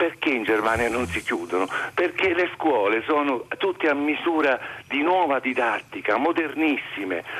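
Over noticeable background noise, a man speaks at a moderate pace with a fairly high pitch. His intonation is lively, and his loudness stays very even. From Molise, Italy. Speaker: music high school teacher, caller. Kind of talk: phone-in call. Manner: animated.

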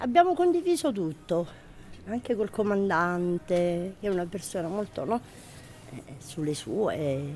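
Her fairly low, dark, mellow voice has lively intonation, big swings in loudness and long, frequent pauses. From southern Italy, Taranto (Puglia). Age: 50s. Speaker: prison inmate on day release. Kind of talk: personal testimony. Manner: halting.

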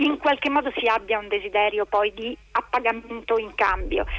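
Fairly high-pitched female speech, its pitch varying in an ordinary way. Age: 50s. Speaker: novelist. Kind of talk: interview.

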